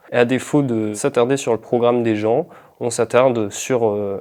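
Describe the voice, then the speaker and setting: A man talks at a fairly slow pace. His intonation is fairly even. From northern France, Pas-de-Calais. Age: 20s. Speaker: political candidate and activist. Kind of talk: interview. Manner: hesitant, many fillers.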